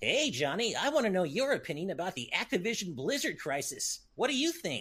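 A man does a put-on character voice pitched high for a man. His pitch swings very widely at a fairly quick pace. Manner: fast, cocky, cartoonish.

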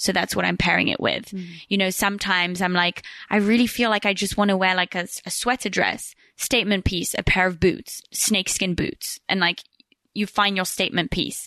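A woman's fairly quick, flat monotone at medium pitch, bright and sharp in tone, with a dry, close sound free of echo against a quiet background. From Switzerland and England, English family. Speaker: podcaster. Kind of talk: casual chat. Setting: studio, on host's couch.

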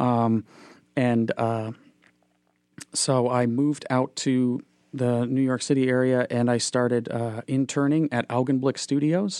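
A man with a dark, mellow tone speaks at a medium pitch and a fairly slow pace, leaving long, frequent pauses. His intonation is fairly even, his loudness very even, and the sound dry and close with no echo. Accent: American. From Minnesota; Fargo-Moorhead, Minnesota. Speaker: animator and illustrator. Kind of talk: casual interview conversation.

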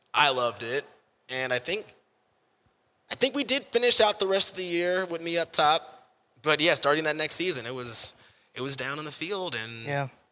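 Animated and bright with a sharp tone, the voice has lively intonation, a moderate pace and long, frequent pauses, in a very clean recording with a silent background. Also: man, fairly high pitch for a man. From Kansas City, US Midwest. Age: 30s. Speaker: stadium host and radio personality. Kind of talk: casual chat. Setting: event center venue.

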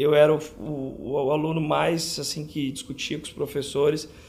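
A man has a normal speaking voice at a fairly high pitch. His intonation stays fairly even. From São José do Rio Preto, interior of São Paulo, Brazil. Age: 30s. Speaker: dermatologist. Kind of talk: interview.

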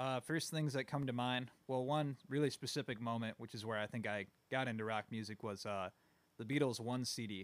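In an ordinary speaking voice, a man of medium pitch talks at a fairly quick pace with fairly even intonation, the sound dry and close with no echo. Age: 20s. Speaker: musician. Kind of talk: casual interview.

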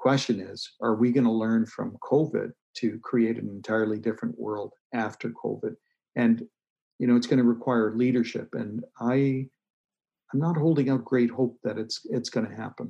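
A man with an unremarkable speaking voice talks at a medium pitch and moderate pace, his intonation fairly even. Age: 60s. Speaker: author and doctor. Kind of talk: interview.

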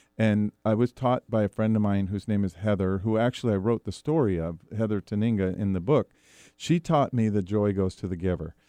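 The sound is dry and close with no echo, over a quiet background. A man speaks at a fairly low pitch with ordinary pitch variation. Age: 50s. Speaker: author and philanthropist. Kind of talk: interview. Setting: studio. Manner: halting, many fillers.

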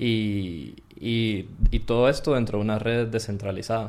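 Ordinary pitch variation in a man's medium-pitched voice, delivered at a very slow pace. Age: 20s. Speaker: computer science student. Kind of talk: interview.

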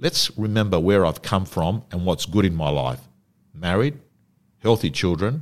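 Spoken with an Australian accent at a moderate pace, the voice has lively intonation. The recording is very clean, with a silent background. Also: man. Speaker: personal development coach and real estate auctioneer. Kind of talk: interview.

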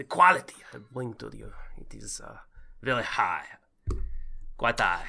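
A raspy, put-on character voice moves at a moderate pace. Long pauses break it up often. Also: man. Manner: cartoonish.

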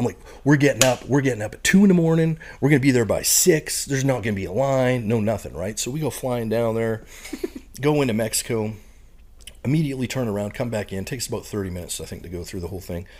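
Heard in a very clean recording with a silent background, a man speaks very fast at a medium pitch with lively intonation. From Canada, Saskatchewan prairies. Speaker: retired Marine bomb disposal technician and professor. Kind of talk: casual interview chat.

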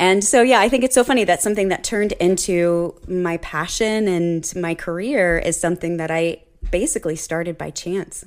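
A woman with an American accent talks at a moderate pace with hardly any pauses and ordinary pitch variation, in a normal speaking voice. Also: medium pitch for a woman. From Ohio, Cincinnati area. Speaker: orchestra teacher. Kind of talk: casual interview.

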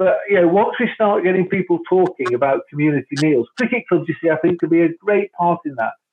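A man is speaking. He talks at a very fast pace. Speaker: cricket club founder. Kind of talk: casual interview. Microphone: connection dropping out.

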